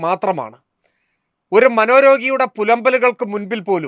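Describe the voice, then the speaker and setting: A man's high voice with ordinary pitch variation, in a dry, close sound with no echo. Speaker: political commentator. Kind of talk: scripted narration. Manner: formal.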